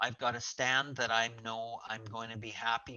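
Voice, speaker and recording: At a fairly slow pace, a man with a medium-pitched voice speaks in an ordinary speaking voice. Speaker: forage specialist. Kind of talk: webinar presentation. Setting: online webinar call.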